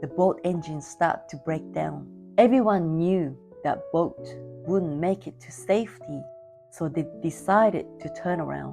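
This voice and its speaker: Music plays behind the voice. A woman talks at a fairly slow pace. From Vietnam. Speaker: public speaker. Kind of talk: competition speech.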